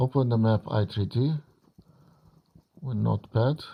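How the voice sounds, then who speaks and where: The speaker has a non-native accent and a dark, mellow tone, somewhat breathy, with ordinary pitch variation. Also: man. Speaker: game modder. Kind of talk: tutorial. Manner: halting.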